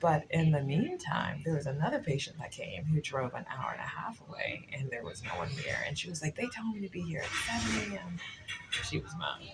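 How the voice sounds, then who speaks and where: Speech moves at a fairly quick pace. Music plays in the background. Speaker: vlogger, patient's adult child. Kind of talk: casual vlog. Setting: hospital waiting room.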